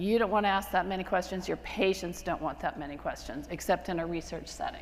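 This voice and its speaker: The woman's pitch sits in the medium range, and her intonation stays fairly even. Room echo is audible. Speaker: physician lecturer. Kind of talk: lecture. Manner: fast; casual, with fillers.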